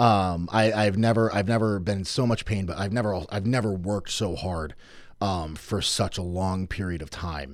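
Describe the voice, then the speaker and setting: In an unremarkable speaking voice, a man talks at a moderate pace. His pitch is fairly low, with ordinary variation. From Norwich, Connecticut. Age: 20s. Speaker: strongman athlete. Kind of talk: casual chat. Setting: studio.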